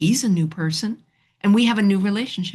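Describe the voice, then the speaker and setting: A somewhat breathy woman's voice with a slight New York accent. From New York City. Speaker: relationship counselor. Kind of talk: podcast interview. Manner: animated.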